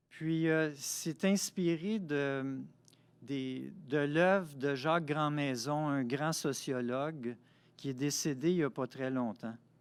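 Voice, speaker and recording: A man's fairly high voice with ordinary pitch variation at a very slow pace, on a very clean recording against a silent background. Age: 60s. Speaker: poet and author. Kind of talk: interview.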